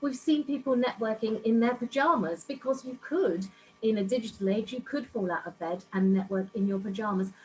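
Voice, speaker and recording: Over music in the background, a woman with a fairly high pitch speaks at a moderate pace with lively intonation. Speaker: networking club founder, business speaker. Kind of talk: online workshop presentation. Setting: video call from home office.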